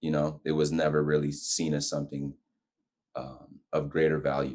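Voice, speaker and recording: A man speaks at a moderate pace with a very deep, low pitch. His intonation is flat and monotone. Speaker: guest on faith and lifestyle talk show. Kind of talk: casual interview chat.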